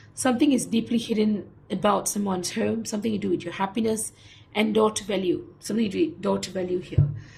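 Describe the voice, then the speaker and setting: At a very fast pace, a woman speaks with a fairly high pitch. Her tone is dark and mellow and somewhat breathy. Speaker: tarot reader. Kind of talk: tarot reading.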